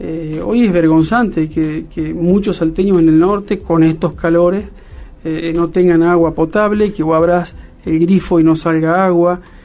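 Music plays in the background as a man speaks at a fairly slow pace. His pitch is high and his intonation fairly even. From Argentina, Salta (Cafayate). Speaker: politician. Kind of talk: interview.

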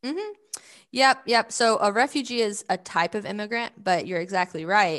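Against a quiet background, a woman with a Southern US accent speaks at a moderate pace with ordinary pitch variation. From US South, Georgia. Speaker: nonprofit communications director. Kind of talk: interview.

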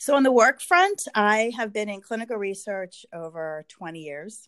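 Over a quiet background, a woman speaks with an American accent in a plain, everyday voice. Her pitch is medium and her intonation lively. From Pennsylvania. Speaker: clinical research manager and business owner. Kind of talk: casual interview. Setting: podcast.

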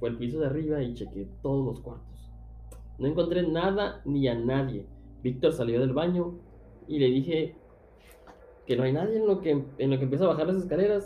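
With a Mexican accent, a man with a fairly high pitch and ordinary pitch variation speaks in an animated tone at a moderate pace, leaving long, frequent pauses amid audible room echo and music in the background. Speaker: podcast host. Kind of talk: casual chat.

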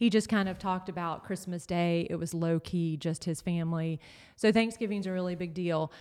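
A woman with an American accent and an ordinary speaking voice talks at a fairly quick pace and fairly low pitch with fairly even intonation on a very clean recording with a silent background. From North Carolina. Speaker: pastor's wife. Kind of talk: casual chat.

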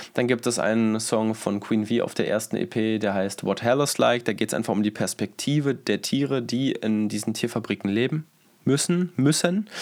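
This man has an unremarkable speaking voice, with medium pitch, ordinary pitch variation, very even loudness and a moderate pace. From Berlin. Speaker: rapper and songwriter. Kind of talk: casual interview.

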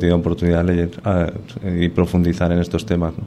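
Very deep and low in pitch, a man talks with a Spanish accent. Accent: Spanish (Spain). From Spain. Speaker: army colonel and mountaineer. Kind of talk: radio interview.

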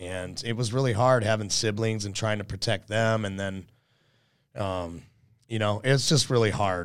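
A man with a plain, everyday voice, fairly low in pitch, with ordinary pitch variation at a moderate pace on a very clean recording with a silent background. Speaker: real estate agent and podcast host. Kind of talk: solo monologue podcast. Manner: casual with many fillers and repetitions.

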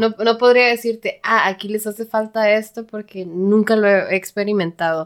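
A plain, everyday voice from a woman, fairly high in pitch, with fairly even intonation, a moderate pace and hardly any pauses. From Mexico, Tijuana. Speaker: software developer. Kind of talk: casual chat.

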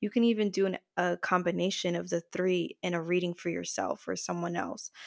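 A woman at a moderate pace, with a dry, close sound, no echo, a very clean recording and a silent background. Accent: New Jersey. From New Jersey, US. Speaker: podcaster and spiritual practitioner. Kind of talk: casual interview chat.

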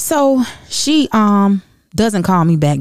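Her pitch swings very widely. The woman's tone is animated. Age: 30s. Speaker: podcast host. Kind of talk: casual monologue.

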